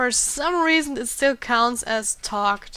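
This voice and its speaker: At a very slow pace, a woman speaks with an Austrian accent in a high pitch. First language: German. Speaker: gaming YouTuber. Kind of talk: let's play commentary. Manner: halting.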